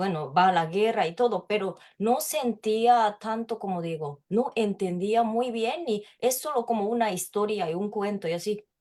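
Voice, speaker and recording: A woman's fairly high voice at a fairly slow pace. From Japan, Tokyo. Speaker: literature researcher. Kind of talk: interview. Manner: halting.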